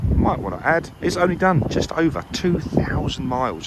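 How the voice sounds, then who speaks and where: Noticeable background noise accompanies a man who keeps a moderate pace. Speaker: car salesman. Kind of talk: vehicle walkaround presentation. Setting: outdoors. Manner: loud; animated.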